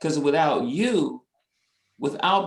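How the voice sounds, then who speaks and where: A man with an American accent uses a normal speaking voice at a fairly high pitch. He keeps a moderate pace with lively intonation. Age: 60s. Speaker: community organization president. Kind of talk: webinar discussion.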